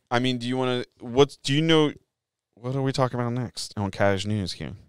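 A man with a slight Philadelphia accent speaks at a fairly quick pace with ordinary pitch variation. The sound is dry with no echo, and the background is quiet. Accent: sounds like Philly, mild. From US suburbs, Philadelphia area. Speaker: podcast host. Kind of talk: casual chat. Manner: fast. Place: studio. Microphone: studio mic.

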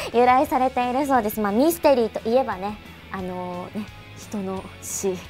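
Over faint music in the background, a woman talks at a fairly quick pace with lively intonation. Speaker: voice actor. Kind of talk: radio show talk. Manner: casual, chatty. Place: studio.

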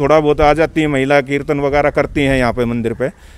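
A man speaks with a fairly high pitch. The sound is dry, with no echo. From Delhi, India (village). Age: 40s. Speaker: temple trustee, villager. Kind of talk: interview. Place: open country. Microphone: handheld.

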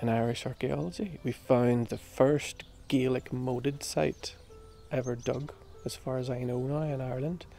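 Against faint music in the background, a man talks with ordinary pitch variation in a dry sound with no echo. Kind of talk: interview answer. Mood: enthusiastic, proud. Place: garden. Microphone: lapel.

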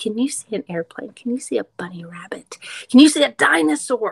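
The woman speaks at a moderate pace. Behind her, the background is quiet. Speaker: teacher reading aloud. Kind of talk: read-aloud storytelling to young children. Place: classroom. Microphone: webcam.

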